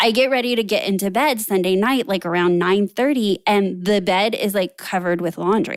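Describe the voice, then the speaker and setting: Speaking at a moderate pace with hardly any pauses, a woman keeps a medium pitch, ordinary pitch variation and very even loudness. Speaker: productivity coach and podcast host. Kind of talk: solo podcast monologue. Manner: occasionally trips over or skips words.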